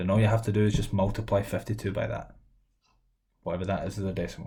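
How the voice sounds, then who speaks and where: A man with a Scottish accent talks very fast in a dark, mellow, somewhat breathy tone at fairly low pitch. His intonation stays fairly even, with audible room echo. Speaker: maths teacher. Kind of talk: lecture.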